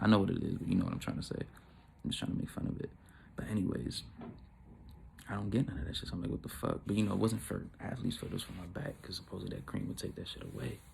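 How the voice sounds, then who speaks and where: This man's very deep, low voice carries vocal fry. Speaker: YouTuber telling a story. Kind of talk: casual storytelling vlog. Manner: animated.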